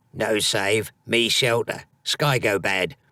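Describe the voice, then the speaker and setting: A man puts on a gruff, gravelly character voice at a medium pitch and speaks very slowly. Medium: read story. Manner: broken, clipped speech; gruff, grunting.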